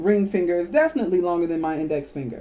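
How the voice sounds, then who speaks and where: A woman with a medium pitch speaks in a dark, mellow tone. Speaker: video blogger. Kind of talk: rant. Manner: animated; halting.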